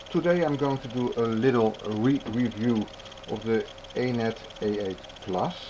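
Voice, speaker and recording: A man's voice at a medium pitch, with ordinary pitch variation and noticeable background noise. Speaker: 3D printing hobbyist YouTuber. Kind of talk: tutorial. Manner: halting.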